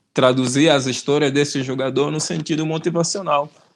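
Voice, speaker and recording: This man uses an ordinary speaking voice. His pace is moderate and his intonation fairly even. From Angola. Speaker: rapper, YouTuber. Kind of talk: interview answer.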